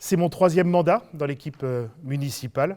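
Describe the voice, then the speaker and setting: A man with a fairly high pitch and a dark, mellow tone speaks with ordinary pitch variation. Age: 60s. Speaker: local politician, substitute candidate. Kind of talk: campaign self-introduction. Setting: video meeting recorded without audience. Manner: hesitant, many fillers.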